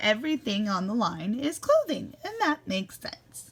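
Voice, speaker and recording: A woman talks at a moderate pace with a fairly high pitch. Her loudness swings widely. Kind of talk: classroom read-aloud. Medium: read story. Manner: warm, animated.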